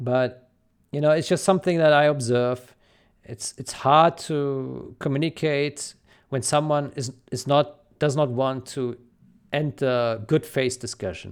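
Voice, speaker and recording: A man with a non-native accent speaks at a fairly slow pace with a fairly high pitch and ordinary pitch variation. The recording is very clean, with a silent background. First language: not English. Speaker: video game modder and community commentator. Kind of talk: solo commentary video. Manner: halting, many fillers and repeats.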